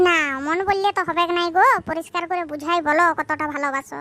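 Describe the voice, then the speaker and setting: A cartoonish character voice at an extremely high pitch speaks at a moderate pace. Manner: playful.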